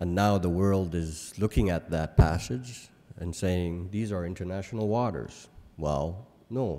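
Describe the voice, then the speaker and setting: A man's very deep, low voice, dark and mellow in tone, at a fairly slow pace with ordinary pitch variation. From Canadian high Arctic (Resolute Bay, Nunavut); Nunavut, Canada. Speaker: keynote speaker. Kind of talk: keynote speech. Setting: conference stage with audience. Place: hall. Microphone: podium.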